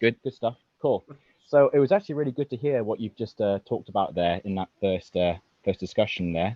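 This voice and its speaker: Talking at a fairly quick pace, a man with a British accent uses lively intonation at a medium pitch. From UK. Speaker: caller. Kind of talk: personal account on call-in. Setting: video call. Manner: hesitant, many fillers.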